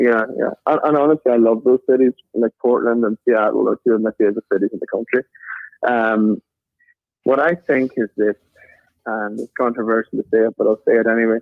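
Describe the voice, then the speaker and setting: Music plays in the background as the speaker talks with a Northern Irish accent. The pace is fairly quick and the intonation fairly even. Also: man, medium pitch for a man. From Northern Ireland. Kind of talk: interview.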